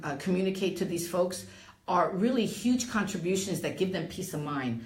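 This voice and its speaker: Lively in intonation and medium in pitch, a woman's voice carries audible room echo. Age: 60s. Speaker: real estate and title professional. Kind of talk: interview. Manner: halting.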